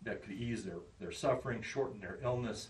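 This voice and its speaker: A man with an American accent, amid audible room echo and noticeable background noise. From Kansas. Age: 60s. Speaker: public health officer. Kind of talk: presentation.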